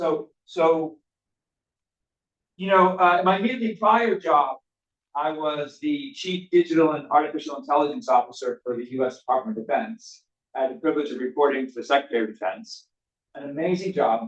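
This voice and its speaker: A man talks at a fairly quick pace with a fairly high pitch. His intonation is lively. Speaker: AI executive and former defense official. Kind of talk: keynote talk. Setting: stage with live audience and online stream. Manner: loud; interactive, conversational.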